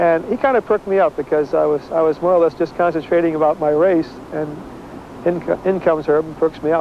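Against light background noise, a man talks at a fairly quick pace and fairly high pitch, with fairly even intonation and a dry sound with no echo. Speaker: Olympic sprinter recalling the race. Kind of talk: recalled interview, casual storytelling. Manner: casual, conversational, hesitant with fillers. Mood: reminiscing, warm. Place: stadium.

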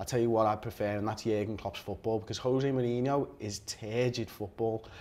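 Talking very fast with a Liverpool accent, a man keeps his intonation fairly even. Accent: Scouse. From Liverpool, England. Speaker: football fan pundit. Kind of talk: heated debate. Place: studio. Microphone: lapel.

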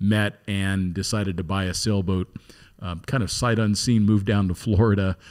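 Against a quiet background, this is an unremarkable speaking voice. The intonation stays fairly even. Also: man. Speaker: podcast host. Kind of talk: podcast introduction. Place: studio. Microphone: studio mic.

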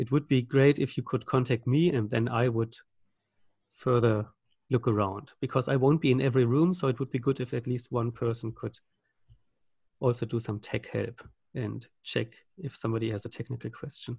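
Against a quiet background, a somewhat breathy man speaks at a moderate pace with fairly even intonation and long, frequent pauses, the sound dry with no echo. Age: 40s. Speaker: game master; game facilitator. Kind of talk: game facilitation over video call. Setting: video call. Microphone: video call.

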